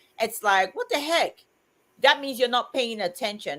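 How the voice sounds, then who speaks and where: A woman speaks on a very clean recording with a silent background. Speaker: livestream co-host. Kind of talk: casual chat. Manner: loud.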